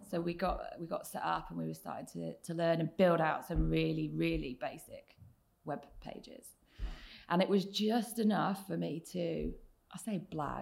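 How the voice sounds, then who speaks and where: A woman with a southern English accent, speaking at a moderate pace. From southern England, Oxfordshire. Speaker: tech executive. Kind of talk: interview.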